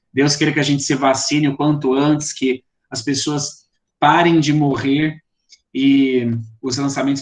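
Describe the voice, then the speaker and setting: At a fairly slow pace, a man with an interior São Paulo accent speaks at a fairly high pitch in a monotone, flat delivery. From interior of São Paulo state, Brazil. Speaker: poetry course instructor and publisher. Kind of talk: online lecture and group discussion. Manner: hesitant, with fillers.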